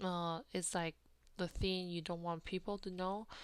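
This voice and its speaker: A woman talks in a Taiwanese accent at medium pitch. The recording is very clean, with a silent background. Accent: Taiwanese Mandarin-accented English. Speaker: podcast host. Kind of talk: personal storytelling monologue. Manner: halting, with frequent fillers.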